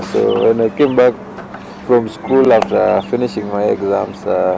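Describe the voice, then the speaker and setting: A man's fairly low voice at a moderate pace, with ordinary pitch variation and noticeable background noise. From Kenya (Rongo area). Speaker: youth leader. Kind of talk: interview. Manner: halting.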